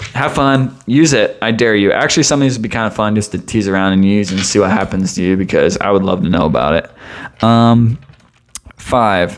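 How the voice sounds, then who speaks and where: Using an animated tone, a man speaks in a fairly low voice with ordinary pitch variation. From Pennsylvania, US. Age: 20s. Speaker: podcast host. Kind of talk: casual monologue. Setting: home studio with mic stand. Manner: fast. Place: home room. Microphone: studio mic.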